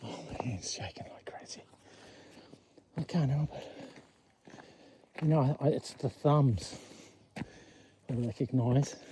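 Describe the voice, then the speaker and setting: A man with an Australian accent at a fairly slow pace, with ordinary pitch variation, big swings in loudness, and long, frequent pauses. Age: 60s. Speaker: vlogger. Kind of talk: casual walk-and-talk monologue. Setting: outdoors on a walking track. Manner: halting, with fillers.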